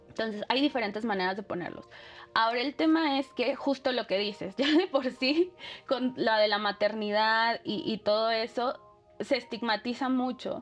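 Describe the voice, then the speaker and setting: Over music in the background, a woman speaks at a moderate pace with a high pitch and ordinary pitch variation. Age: 30s. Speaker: activist. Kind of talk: interview.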